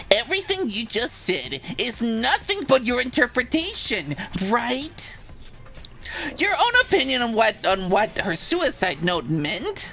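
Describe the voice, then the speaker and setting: A put-on character voice swings very widely in pitch at a fairly slow pace over clear background noise. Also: woman, high pitch for a woman. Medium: fan dub. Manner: mocking, flippant, exaggerated.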